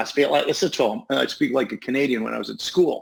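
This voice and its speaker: A man at a fairly quick pace. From northern England, raised in Toronto. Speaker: hypnotist and psychotherapist. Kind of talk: interview storytelling.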